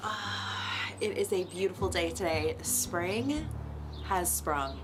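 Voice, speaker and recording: A woman speaks with music playing in the background. Audible room echo surrounds her voice. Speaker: fitness coach and app creator. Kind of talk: vlog. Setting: at home.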